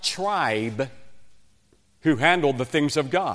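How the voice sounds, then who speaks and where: In a West Virginian accent, a man speaks at a fairly slow pace with lively intonation and a fairly high pitch. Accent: Southern US, West Virginian. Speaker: evangelist preacher. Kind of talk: sermon.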